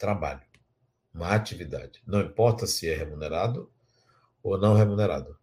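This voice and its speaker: Dark and mellow with vocal fry, the voice moves at a moderate pace with lively intonation, big swings in loudness, and long, frequent pauses. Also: man, fairly low pitch for a man. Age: 60s. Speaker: spiritual teacher. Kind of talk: lecture with guided imagination exercise.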